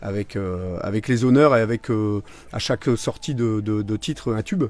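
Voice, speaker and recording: With music in the background, a man talks at a moderate pace and a medium pitch. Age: 40s. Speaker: singer. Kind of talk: interview. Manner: halting.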